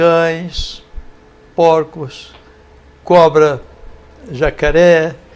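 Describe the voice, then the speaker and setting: Here a man with a fairly high pitch talks at a very slow pace in a monotone, flat intonation. He leaves long, frequent pauses. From Brazil, rural São Paulo state (Sertãozinho). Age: 70s. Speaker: volunteer in philanthropy. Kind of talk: interview, life story.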